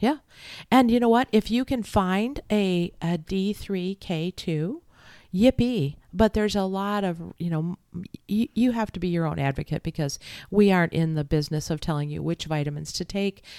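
On a very clean recording with a silent background, a woman with a medium-pitched, dark, mellow tone speaks at a moderate pace with lively intonation, the sound dry and close with no echo. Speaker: podcast co-host and nutrition teacher. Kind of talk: casual chat. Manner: animated.

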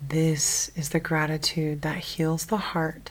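Speaking at a very slow pace, a woman with a very deep, low pitch sounds calm and somewhat breathy. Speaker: meditation guide. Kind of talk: guided sleep meditation. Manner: slow, calm, soft-spoken.

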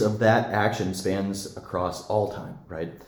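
With an American accent, a man talks at a fairly low pitch, and the room echo is audible. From Montana (Billings). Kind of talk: interview about faith.

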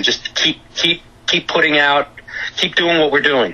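With a New York accent, a man talks at a fairly slow pace amid noticeable background noise. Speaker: music entrepreneur. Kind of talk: casual interview chat.

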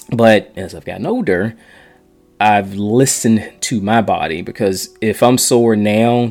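Speaking with fairly even intonation, a man has a fairly low pitch and a normal speaking voice. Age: 40s. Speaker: podcast host and runner. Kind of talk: solo podcast monologue. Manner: casual, with many fillers and restarts.

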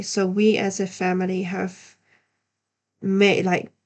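A woman's medium-pitched voice against a quiet background. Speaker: podcast host, yoga business coach. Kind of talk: casual monologue; scripted intro. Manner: hesitant, many fillers.

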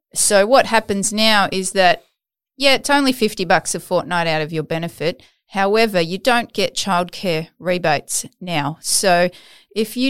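The recording is very clean, with a silent background. A woman with an Australian accent speaks at medium pitch with ordinary pitch variation. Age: 40s. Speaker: podcast host. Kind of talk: interview conversation. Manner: animated.

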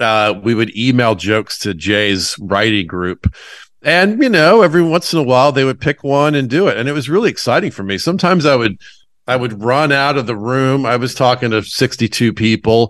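On a very clean recording with a silent background, a man with an American accent and a plain, everyday voice talks at a fairly quick pace in a medium pitch with lively intonation. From US South, Atlanta. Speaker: stand-up comedian. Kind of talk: casual chat.

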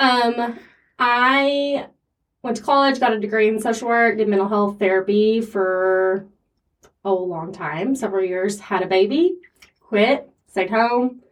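A woman talks fairly slowly in a plain, everyday voice, fairly high in pitch. Her pitch variation is ordinary and her loudness very even. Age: 30s. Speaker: photographer and podcast co-host, former therapist. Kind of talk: casual chat.

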